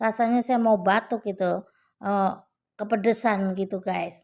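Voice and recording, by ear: A woman talks at a fairly slow pace with vocal fry. Her intonation stays fairly even. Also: medium pitch for a woman, slightly mellow tone.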